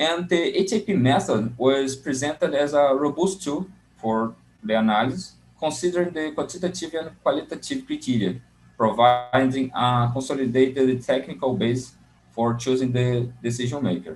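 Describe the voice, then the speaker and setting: A man with a Portuguese accent talks with lively intonation. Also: medium pitch for a man, moderate pace. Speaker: graduate student presenting a paper. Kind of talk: conference paper presentation. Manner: halting, with many fillers; reading from notes.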